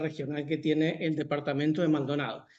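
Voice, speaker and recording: A man rushes along at a very fast pace, his voice carrying audible room echo. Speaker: historian giving a talk. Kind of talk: lecture.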